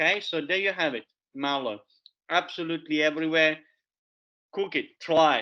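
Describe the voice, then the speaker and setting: A man speaks at a moderate pace with an Italian accent. His pitch is high. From Italy. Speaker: forager and educator. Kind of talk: public talk. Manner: animated; halting.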